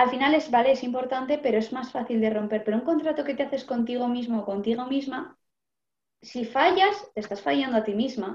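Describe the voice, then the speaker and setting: Her voice is high-pitched for a woman, and its pitch varies in an ordinary way. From Basque Country, Vitoria, Álava. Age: 20s. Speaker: teacher, vegetarian interviewee. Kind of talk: casual interview.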